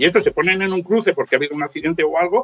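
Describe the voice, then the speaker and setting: A man with a high voice speaks in a lively, rising-and-falling way, recorded dry and close with no echo. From Spain, inland Valencia (Ayora). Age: 50s. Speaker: motorcycle traveller and author. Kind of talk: casual chat.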